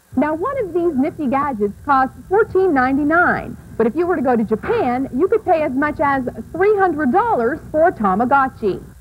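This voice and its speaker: With noticeable background noise behind her, a woman talks at a moderate pace in an American accent. Her high pitch takes very wide swings. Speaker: TV reporter and news anchor. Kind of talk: reporter segment tease.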